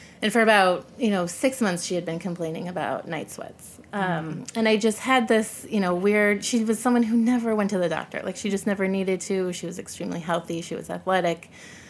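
A woman with an American accent talks in an unremarkable speaking voice at medium pitch. Her pace is fairly quick, with ordinary pitch variation and hardly any pauses. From US Midwest (Chicago area). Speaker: former intelligence analyst. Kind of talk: casual interview.

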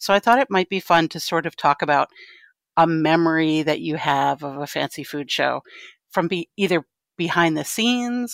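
Heard dry and close with no echo, a woman with vocal fry and a very deep, low pitch talks at a moderate pace. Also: very clean recording, silent background. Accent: American. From Connecticut, US. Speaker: podcast host, trade association education director. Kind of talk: casual chat.

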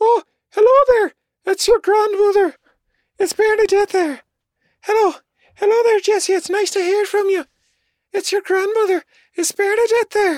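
A squeaky, put-on character voice with a Northern Irish accent hits an extremely high pitch. It moves at a moderate pace with long, frequent pauses.

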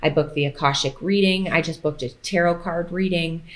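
In an ordinary speaking voice, a woman with a fairly low pitch talks at a moderate pace with fairly even intonation. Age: 30s. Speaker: food blogger and fitness creator. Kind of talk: casual chat.

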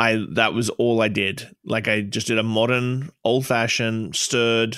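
A man's medium-pitched, bright, sharp voice in an Australian accent, fairly slow and monotone, with flat intonation, recorded very cleanly over a silent background, dry and close with no echo. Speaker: bartender and social media creator. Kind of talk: casual chat. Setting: studio.

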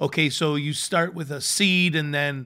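A man's fairly high, bright, sharp voice with monotone, flat intonation at a moderate pace, on a very clean recording with a silent background. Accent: Chicago. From US Midwest (Chicago). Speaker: chef and restaurateur. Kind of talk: casual chat. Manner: halting, many fillers.

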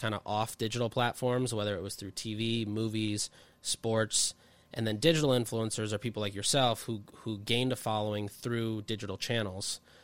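A man speaks at a moderate pace with a medium pitch and fairly even intonation, in a plain, everyday voice. The recording is very clean, with a silent background. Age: 20s. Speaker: marketing consultant. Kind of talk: casual chat. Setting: studio.

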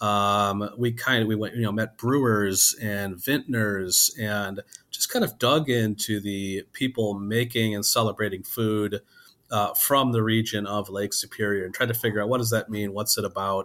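Here is a man with a normal speaking voice and fairly low pitch. He talks at a moderate pace with fairly even intonation. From Wisconsin. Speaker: food journalist and editor. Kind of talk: interview.

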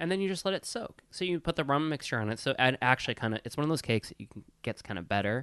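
A man with an American accent at a medium pitch, very fast with hardly any pauses, very wide pitch swings and big swings in loudness, in a dry, close sound with no echo and a quiet background. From US Midwest, Wisconsin. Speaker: podcast co-host, service industry worker. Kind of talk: casual chat. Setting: studio.

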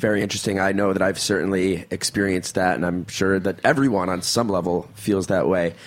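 This man talks at a fairly quick pace with a very deep, low pitch, very even loudness and fairly even intonation. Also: hardly any pauses. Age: 30s. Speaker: podcast co-host and actor. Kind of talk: casual chat.

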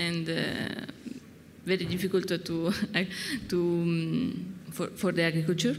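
A woman's very slow speech in a strong Italian accent, with fairly even intonation and noticeable background noise. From northern Italy, Piedmont. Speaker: winemaker. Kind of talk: live talk-tasting conversation. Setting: stage with audience at a wine fair. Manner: halting, hesitant in English; laughs often.

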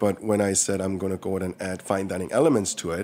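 A man with a very deep, low voice speaks at a very fast pace with a slight Korean accent. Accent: Korean-American, slight Korean. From born in Seoul, raised from 13 on Long Island, New York. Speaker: restaurant owner. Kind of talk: interview.

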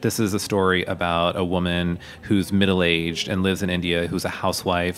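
With noticeable background noise behind him, a man with an American accent speaks at a moderate pace in a very deep, low, monotone voice with flat intonation. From Pennsylvania, US. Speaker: screenwriter and cookbook author. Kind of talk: interview. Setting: studio.

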